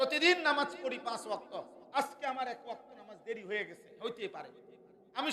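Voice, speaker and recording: With an extremely high pitch and a bright, sharp tone, a man uses a raised, projected voice with ordinary pitch variation. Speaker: Islamic preacher. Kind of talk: sermon. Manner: animated.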